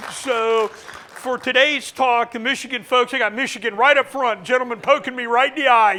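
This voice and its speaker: A man's raised, projected voice with an American accent and a bright, sharp tone. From US Midwest, central Ohio (Groveport near Columbus). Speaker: historian and battlefield guide. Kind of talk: lecture. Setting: lecture hall with audience. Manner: loud.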